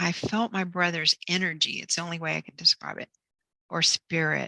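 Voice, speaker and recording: On a very clean recording with a silent background, a woman with a bright, sharp tone and vocal fry speaks at a fairly low pitch and a moderate pace, the sound dry and close with no echo. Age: 60s. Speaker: author and near-death experience speaker. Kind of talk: interview testimony. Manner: halting.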